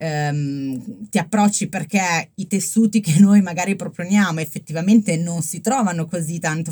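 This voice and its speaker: A woman talks at a fairly slow pace with lively intonation. Her voice is fairly low in pitch and somewhat breathy. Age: 30s. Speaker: fashion startup founder. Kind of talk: interview. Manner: hesitant, many fillers.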